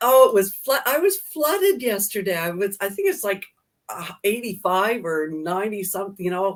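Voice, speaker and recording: A woman has a plain, everyday voice at medium pitch, speaking at a moderate pace with ordinary pitch variation. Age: 60s. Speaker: daycare owner, co-host. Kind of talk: casual chat. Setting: live stream.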